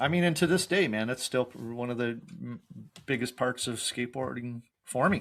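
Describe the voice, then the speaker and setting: Here a man talks at a moderate pace with a medium pitch. His intonation is lively, broken by long, frequent pauses. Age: 50s. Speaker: podcast host, skateboarder. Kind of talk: casual interview chat.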